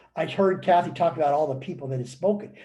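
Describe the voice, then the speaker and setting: A man's somewhat breathy voice, dark and mellow in tone, shows ordinary pitch variation amid audible room echo. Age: 70s. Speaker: motivational speaker and author. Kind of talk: webinar talk. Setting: online webinar. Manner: animated.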